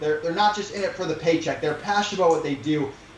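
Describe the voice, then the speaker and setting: Audible room echo and noticeable background noise accompany this man's speech. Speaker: e-commerce entrepreneur. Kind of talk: interview. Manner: direct.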